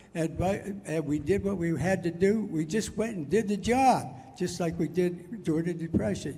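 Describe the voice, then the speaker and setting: A man with an American accent speaks at a fairly slow pace, his voice high in pitch and his pitch variation ordinary. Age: 80s+. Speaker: war veteran. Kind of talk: political speech to a crowd. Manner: passionate.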